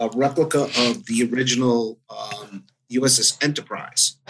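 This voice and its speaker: A man with an American accent and an ordinary speaking voice, medium in pitch, at a fairly slow pace with ordinary pitch variation. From New Jersey. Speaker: IT director. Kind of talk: casual interview.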